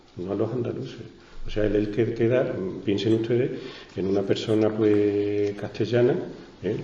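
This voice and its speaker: At a fairly slow pace and fairly low pitch, a man speaks with fairly even intonation and long, frequent pauses. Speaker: literature teacher and writer. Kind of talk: book presentation talk.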